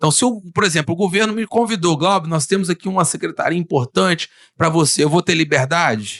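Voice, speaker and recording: Speaking at a fairly quick pace and a high pitch, a man keeps his loudness very even, in a dry, close sound with no echo. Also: ordinary pitch variation. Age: 30s. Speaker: local politician. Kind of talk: podcast interview. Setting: studio. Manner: hesitant, many fillers.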